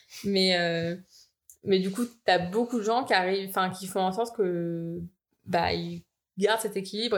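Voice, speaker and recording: In a flat, monotone delivery, a woman speaks at a medium pitch and a moderate pace. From France, Val-d'Oise (Paris region). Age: 20s. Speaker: engineer. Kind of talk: casual chat.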